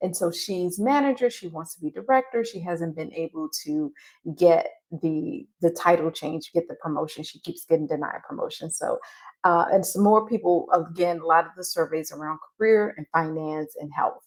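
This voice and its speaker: A woman with fairly low pitch speaks at a moderate pace, her intonation lively and her loudness swinging widely. The recording is very clean, with a silent background. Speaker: career coach. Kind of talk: live stream coaching talk. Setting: live stream. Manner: soft-spoken.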